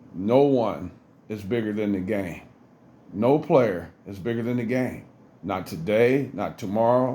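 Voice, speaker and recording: Audible room echo surrounds a man's voice. His pitch is medium and his tone dark and mellow. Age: 60s. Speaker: former pro basketball player, sports commentator. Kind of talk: sports commentary monologue. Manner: earnest.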